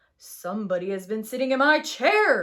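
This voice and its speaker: A put-on, female-sounding character voice, raspy and fairly high, moves at a moderate pace with very wide pitch swings. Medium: read story.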